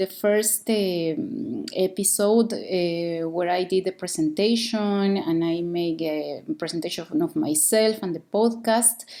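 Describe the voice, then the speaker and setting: A woman speaks at a very slow pace with a Mexican accent. Her tone is dark and mellow, and her intonation is lively. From Mexico. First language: Spanish. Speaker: podcast host. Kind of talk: podcast monologue. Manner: slow, deliberate; halting, many fillers.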